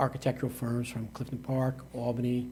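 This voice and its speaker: This man has an American accent and a medium pitch. His voice is somewhat breathy, and he talks at a fairly quick pace. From Troy, New York (US Northeast). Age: 60s. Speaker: mayor. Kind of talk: interview. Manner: halting.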